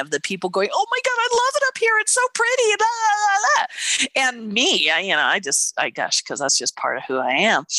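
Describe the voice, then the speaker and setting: A woman speaks at a moderate pace in an animated tone. The sound is dry and close with no echo, with noticeable background noise. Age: 50s. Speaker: podcast co-host and nutritionist. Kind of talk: casual chat.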